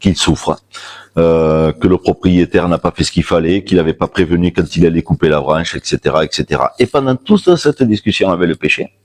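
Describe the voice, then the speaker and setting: A man speaks at a fairly quick pace with a very deep, low pitch. The sound is dry and close, with no echo. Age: 50s. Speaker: shamanism practitioner giving a talk. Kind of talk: public talk with personal storytelling. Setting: stage with audience at a fair. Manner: loud.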